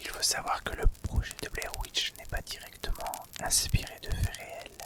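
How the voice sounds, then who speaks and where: Very slowly, someone speaks in a whisper against noticeable background noise. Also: man. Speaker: ASMR creator. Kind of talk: ASMR horror story narration. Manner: soft, whispery, relaxing.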